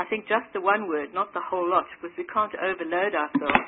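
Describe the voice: A woman talks at a fairly quick pace. Her pitch sits fairly low. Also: ordinary pitch variation.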